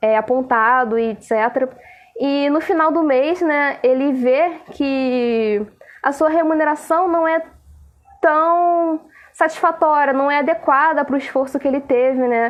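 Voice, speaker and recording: This woman has a high-pitched voice with ordinary pitch variation. She speaks at a fairly slow pace. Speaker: nursing professor, live stream moderator. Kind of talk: live stream talk.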